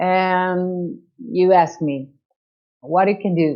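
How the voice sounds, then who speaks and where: Here a woman speaks with a Portuguese accent. Her pitch is fairly low. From Portugal. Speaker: chamber of commerce director. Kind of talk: interview. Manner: halting, many hesitations.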